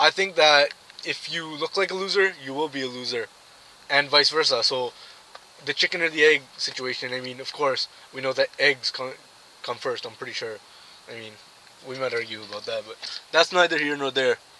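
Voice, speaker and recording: Someone talks at a fairly quick pace with ordinary pitch variation, big swings in loudness and long, frequent pauses amid noticeable background noise. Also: man, fairly high pitch for a man. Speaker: vlogger. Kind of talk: casual vlog monologue. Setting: in a car. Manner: soft-spoken.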